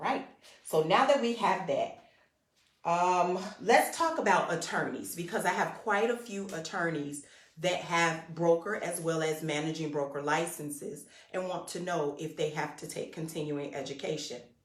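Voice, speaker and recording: A woman's fairly low voice with lively intonation at a moderate pace, with audible room echo. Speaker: real estate school enrollment manager. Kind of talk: instructional livestream talk.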